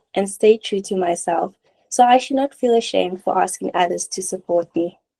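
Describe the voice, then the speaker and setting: A woman speaks at a moderate pace with lively intonation and a dark, mellow tone. The sound is dry and close, with no echo. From South Africa, Cape Town. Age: 20s. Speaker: student fundraiser / recent graduate. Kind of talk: personal testimony. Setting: webinar.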